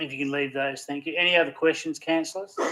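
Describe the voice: A man's fairly high, bright, sharp voice at a fast pace with fairly even intonation.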